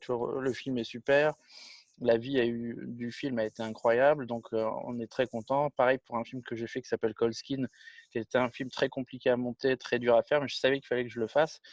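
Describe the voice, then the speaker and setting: Monotone, flat intonation marks this man's medium-pitched speech at a moderate pace. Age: 40s. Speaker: film director and producer. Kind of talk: interview. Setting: video call. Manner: casual, with many hesitations.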